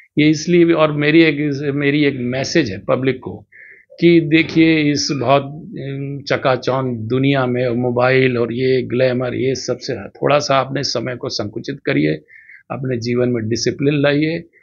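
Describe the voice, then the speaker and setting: A man talks in an ordinary speaking voice at a medium pitch. His pitch variation is ordinary. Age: 60s. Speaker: doctor and marathon runner. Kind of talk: interview.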